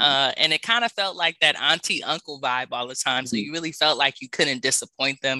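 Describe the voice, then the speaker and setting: A man with an American accent talks at a fairly quick pace in a bright, sharp tone. The pitch variation is ordinary, and the sound is dry and close with no echo. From South Central Los Angeles, US. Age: 30s. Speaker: public speaking coach, podcast host and author. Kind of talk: casual interview chat. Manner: animated, upbeat.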